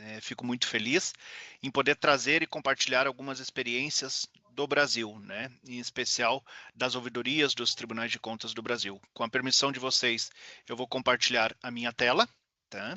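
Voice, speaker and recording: A man with a Brazilian accent speaks at a moderate pace and medium pitch. His intonation is fairly even, but his loudness swings widely. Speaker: public audit ombudsman. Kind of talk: conference talk. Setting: video call. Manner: formal.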